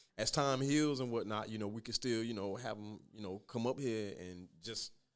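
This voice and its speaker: With an American accent, this man speaks at a medium pitch. He has a normal speaking voice. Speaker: podcast host. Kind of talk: casual chat.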